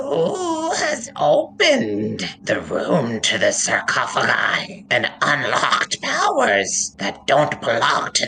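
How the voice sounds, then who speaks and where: At a very slow pace, a put-on character voice comes through over clear background noise. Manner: cackling, menacing.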